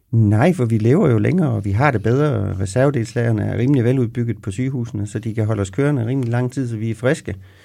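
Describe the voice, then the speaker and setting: In a very clean recording with a silent background, a man with a dark, mellow tone talks very fast at a medium pitch. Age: 50s. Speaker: pension specialist. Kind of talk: podcast interview. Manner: halting.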